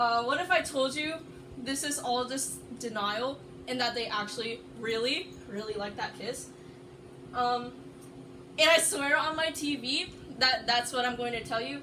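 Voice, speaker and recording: With audible room echo and noticeable background noise, a woman speaks loudly at a high pitch and a moderate pace, with ordinary pitch variation and long, frequent pauses. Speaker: anime video essayist. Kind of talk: casual video presentation. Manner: halting, many fillers.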